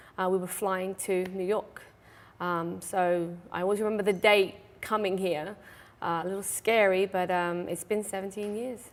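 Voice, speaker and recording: A woman's medium-pitched voice with an English accent, at a moderate pace, in a flat monotone. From England, Suffolk (Mildenhall). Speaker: stable owner and riding instructor. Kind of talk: talk show interview. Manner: hesitant, many fillers.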